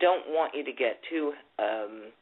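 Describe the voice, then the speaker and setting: A woman at a fairly slow pace with lively intonation. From UK. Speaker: psychic. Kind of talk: psychic reading. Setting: phone call.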